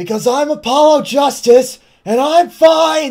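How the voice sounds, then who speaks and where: Someone puts on a high-pitched character voice. The delivery is fairly slow. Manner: loud, declarative, theatrical.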